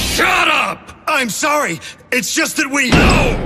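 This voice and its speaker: Shouting in a put-on character voice at an extremely high pitch, a man speaks fairly slowly over faint music in the background. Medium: fan dub. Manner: agitated.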